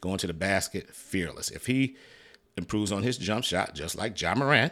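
A man with an American accent and a plain, everyday voice, fairly low in pitch, with ordinary pitch variation and a moderate pace. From Detroit, Michigan. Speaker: sports podcast host. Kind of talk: solo sports commentary podcast. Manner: casual, conversational.

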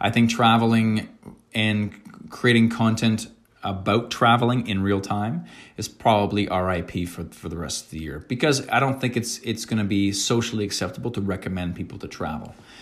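Using a normal speaking voice with a Canadian accent, a man talks at a fairly low pitch with ordinary pitch variation. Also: moderate pace. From rural New Brunswick, Canada. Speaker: travel content creator. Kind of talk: casual interview chat.

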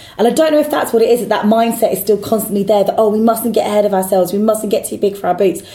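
Against noticeable background noise, a woman with a fairly high pitch and ordinary pitch variation talks at a very fast pace with hardly any pauses. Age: 30s. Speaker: football fan pundit. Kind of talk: casual chat.

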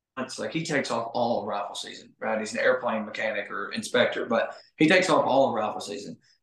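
This man's voice is fairly high. He speaks at a fairly quick pace. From Arkansas. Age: 30s. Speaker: bowhunter and outdoors YouTuber. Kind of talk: casual chat. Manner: fast.

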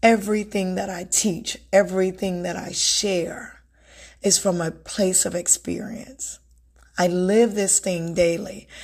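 A woman with a warm tone speaks at a fairly slow pace in a medium pitch, her intonation monotone and flat. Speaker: self-help podcast host and author. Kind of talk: motivational solo talk. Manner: warm, conversational.

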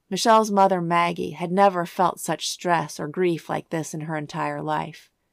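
With a normal speaking voice, a woman talks at a moderate pace, her pitch fairly low and intonation fairly even, on a very clean recording with a silent background. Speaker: true crime podcast host. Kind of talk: true-crime narration, scripted and read aloud in a solemn, storytelling tone. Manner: measured, even-paced and grave, with clear factual delivery; somber and sympathetic when describing the family's grief.

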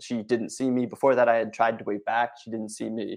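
Over a quiet background, a man speaks with a Philadelphia accent. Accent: Philadelphia-area American. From US, Philadelphia suburbs. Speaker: networking speaker. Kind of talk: presentation. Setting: video stream event.

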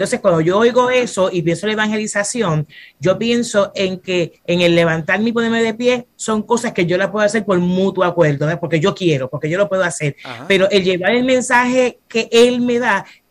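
In a Puerto Rican accent, a woman talks at a medium pitch and fairly quick pace with lively intonation and hardly any pauses. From Puerto Rico, Fajardo. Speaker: pastor. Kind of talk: casual chat.

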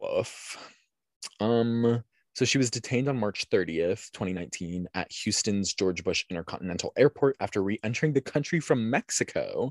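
At a moderate pace, a man with a medium pitch sounds animated and uses lively intonation, with a dry, close sound with no echo over a quiet background. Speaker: podcast host. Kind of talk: casual chat, true crime storytelling. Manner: animated, joking.

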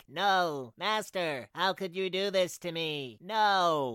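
A put-on character voice at a middle pitch and a very slow pace, on a very clean recording with a silent background. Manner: hurt, pleading.

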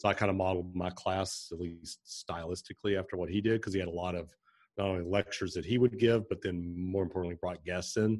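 A man with a very deep, low voice speaks at a very fast pace in a flat monotone. The background is quiet. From eastern Kentucky (Pikeville). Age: 50s. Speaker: entrepreneur and former architecture lecturer. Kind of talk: interview.

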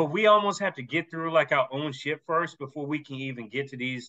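A man with a plain, everyday voice speaks fairly quickly, his pitch fairly high and varying in an ordinary way. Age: 40s. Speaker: podcast host. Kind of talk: casual interview.

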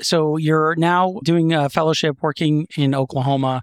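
Over a very clean recording with a silent background, a man uses a normal speaking voice, fairly high in pitch with ordinary pitch variation, in a dry, close sound with no echo. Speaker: podcast host, pediatric ENT surgeon. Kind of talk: interview.

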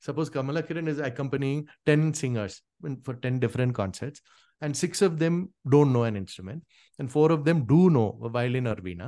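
A man speaks with an Indian accent in a dark, mellow tone. The background is quiet. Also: fairly high pitch for a man, ordinary pitch variation. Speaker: Carnatic singer and veena player. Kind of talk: casual interview conversation.

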